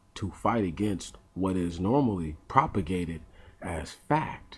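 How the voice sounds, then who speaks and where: A soft-spoken, somewhat breathy man with a very deep, low pitch. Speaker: vlogger. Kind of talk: casual monologue. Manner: halting.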